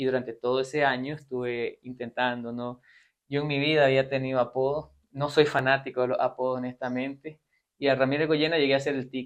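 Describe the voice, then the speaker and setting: A man talks at a medium pitch and a fairly quick pace. His intonation is monotone and flat. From Costa Rica and Nicaragua (Managua). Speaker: doctor. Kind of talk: interview.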